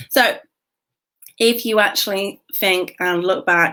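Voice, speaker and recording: With a British accent, a woman speaks at a fairly high pitch in a very clean recording over a silent background. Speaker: business coach. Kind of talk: livestream talk. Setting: Facebook live video. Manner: whispering slightly.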